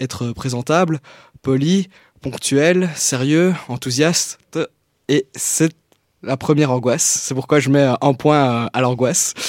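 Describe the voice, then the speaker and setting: A man's fairly high-pitched, slow-paced delivery with ordinary pitch variation, a plain, everyday voice, and a dry, close sound with no echo. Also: very clean recording, silent background. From Belgium, Liège. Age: 20s. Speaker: youth columnist, journalism graduate. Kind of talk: reading own text aloud; announcements.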